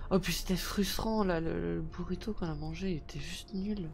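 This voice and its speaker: Her voice carries vocal fry. She delivers her words at a moderate speed. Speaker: gaming streamer. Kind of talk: live gameplay commentary. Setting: video call. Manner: halting.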